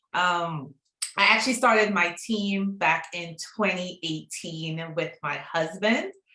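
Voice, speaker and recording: This woman has a slight Trinidadian accent, a medium pitch, a bright, sharp tone, and ordinary pitch variation. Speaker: real estate broker. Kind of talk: online class.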